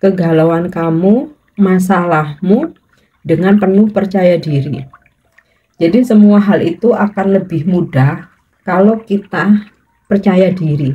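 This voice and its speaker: A woman's medium-pitched, somewhat breathy voice, dark and mellow in tone, at a very slow pace with ordinary pitch variation. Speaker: tarot reader. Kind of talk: tarot reading monologue. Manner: slow, unhurried.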